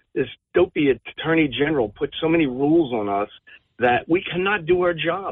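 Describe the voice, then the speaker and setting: A man's fairly high voice with lively intonation and a New Jersey accent. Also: moderate pace. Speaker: police officer. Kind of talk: call-in discussion. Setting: phone call. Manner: halting.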